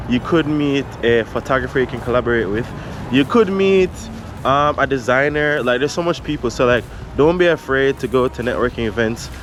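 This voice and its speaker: With a Jamaican accent, a man speaks at a fairly quick pace in a medium pitch with ordinary pitch variation, over noticeable background noise. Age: 30s. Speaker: photographer, vlogger. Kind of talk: vlog, casual talk to camera.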